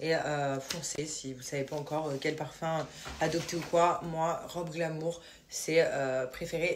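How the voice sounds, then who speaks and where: A woman talks at a fairly slow pace in a fairly low pitch, her intonation fairly even. Noticeable background noise sits behind her. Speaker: lifestyle vlogger. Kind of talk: vlog with sponsored product pitch. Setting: at home at night. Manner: soft-spoken. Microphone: poor sound quality.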